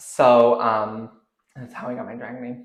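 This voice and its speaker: The voice carries a western Canadian accent. Audible room echo surrounds it. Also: man. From Canada, Jasper, Alberta. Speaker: drag performer. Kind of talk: casual interview chat. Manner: animated.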